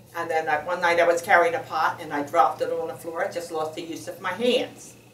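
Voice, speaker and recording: The voice belongs to a woman with a fairly low pitch. Audible room echo surrounds it. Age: 70s. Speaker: surgery patient. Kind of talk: testimony. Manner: halting.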